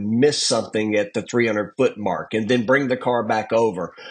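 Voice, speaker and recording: This man has a Southern US accent and speaks at a moderate pace. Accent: Southern US country. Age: 50s. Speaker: drag racer. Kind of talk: podcast interview. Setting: in a car.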